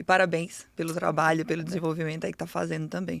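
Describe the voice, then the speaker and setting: Very fast, monotone speech with vocal fry, over a very clean, silent background. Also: woman. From Paraíba, Brazil. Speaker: real estate company CEO. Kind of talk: podcast interview.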